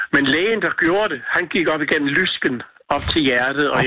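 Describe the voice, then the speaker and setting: A man talks at a moderate pace, his pitch varying in an ordinary way, while noticeable background noise carries on. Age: 70s. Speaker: singer and former hairdresser. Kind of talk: phone interview. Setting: phone call. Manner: halting.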